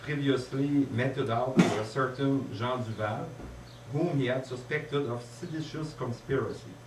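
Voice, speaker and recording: Noticeable background noise and audible room echo surround a man speaking at a fairly slow pace with fairly even intonation. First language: French. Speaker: conference speaker. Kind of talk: lecture. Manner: halting.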